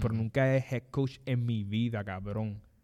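In a very clean recording with a silent background, a man talks at a moderate pace with a normal speaking voice. His pitch is medium and his intonation fairly even. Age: 20s. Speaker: sports podcast host. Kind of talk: casual chat. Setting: studio.

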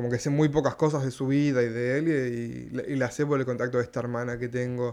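The man moves along fairly quickly, his intonation staying fairly even. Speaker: stand-up comedian. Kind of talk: casual interview. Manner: halting, with many fillers.

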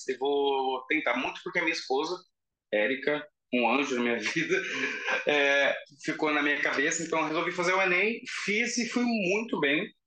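A man's fairly high-pitched voice with very wide pitch swings, at a fairly quick pace. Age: 30s. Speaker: fire prevention engineer. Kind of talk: casual interview.

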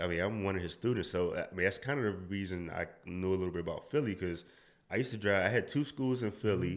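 A man's fairly low voice with an American accent, at a very fast pace with ordinary pitch variation. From Washington DC. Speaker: amateur triathlete. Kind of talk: casual interview.

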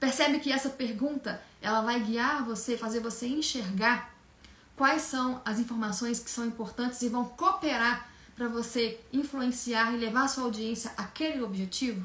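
Speech comes at a moderate pace with fairly even intonation. There is noticeable background noise. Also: woman, high pitch for a woman. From Minas Gerais, Brazil. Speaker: communication coach. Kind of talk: online lecture.

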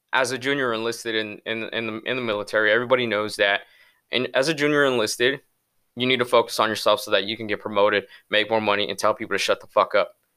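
A man talks very fast in a bright, sharp tone. His pitch is medium. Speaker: podcast host and military recruiter. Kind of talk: solo podcast monologue. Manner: fast, stumbling over words.

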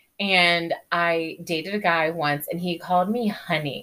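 A woman with an American accent, a fairly low pitch, ordinary pitch variation and a plain, everyday voice. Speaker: podcast host. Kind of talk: casual chat.

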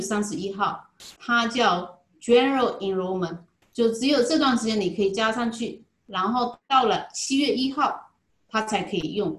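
A somewhat breathy woman talks at a fairly slow pace with a fairly high pitch. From Zhejiang, China (Jinhua). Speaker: insurance agent. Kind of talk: interview. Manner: halting, many filler sounds.

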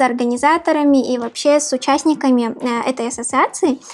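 Noticeable background noise sits behind the voice. A woman with a high pitch speaks at a fairly quick pace. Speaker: podcast host. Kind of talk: casual interview.

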